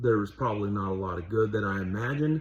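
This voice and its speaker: This man's voice is fairly low and somewhat breathy. He keeps a moderate pace with ordinary pitch variation. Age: 30s. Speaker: vlogger and fast food worker. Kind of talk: personal monologue. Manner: halting, stuttering.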